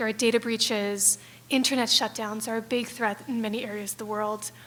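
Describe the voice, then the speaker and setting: The speech moves at a very fast pace. Its intonation is monotone and flat. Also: woman. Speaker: digital security program lead. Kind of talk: conference panel talk.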